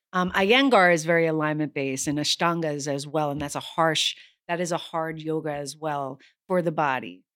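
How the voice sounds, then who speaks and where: On a very clean recording with a silent background, a woman with a very deep, low voice talks at a fairly quick pace with ordinary pitch variation. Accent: American. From New York City, Lower East Side. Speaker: actress and yoga instructor. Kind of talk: casual chat.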